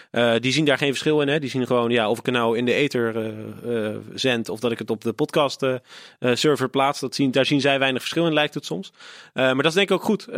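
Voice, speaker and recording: On a very clean recording with a silent background and a dry, close sound with no echo, a man with an ordinary speaking voice talks at a fairly quick pace with a medium pitch and ordinary pitch variation. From Netherlands, Rotterdam. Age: 20s. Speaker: podcaster and football fan. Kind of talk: casual chat.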